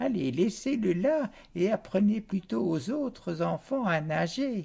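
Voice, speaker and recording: Using a put-on character voice pitched high, a man speaks at a fairly slow pace. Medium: read story.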